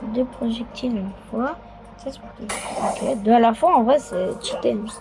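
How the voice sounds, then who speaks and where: A woman speaks at a fairly slow pace with big swings in loudness over noticeable background noise. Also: fairly high pitch for a woman, ordinary pitch variation. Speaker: gaming youtuber. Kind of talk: gameplay commentary. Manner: softer than usual; animated.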